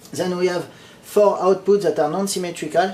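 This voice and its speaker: A man talks with a strong non-native accent. His pitch is high. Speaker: electronics hobbyist. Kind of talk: technical explanation to camera. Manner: casual, hesitant with fillers.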